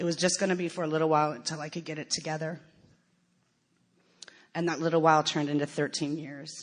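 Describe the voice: A woman with an American accent, low in pitch with little pitch movement, at a fairly quick pace.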